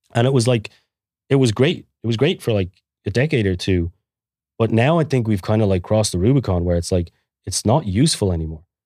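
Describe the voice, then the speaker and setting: A man with an Irish accent and fairly low pitch speaks in a dark, mellow tone with lively intonation. His pace is very fast but broken by long, frequent pauses, on a very clean recording with a silent background. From Ireland. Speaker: guest, bitcoin entrepreneur. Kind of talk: casual interview.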